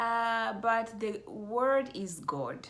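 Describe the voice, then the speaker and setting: A woman speaks with an East African accent and ordinary pitch variation. Audible room echo surrounds her voice. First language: Swahili. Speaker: mindfulness coach. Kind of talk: vlog monologue. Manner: halting, many fillers.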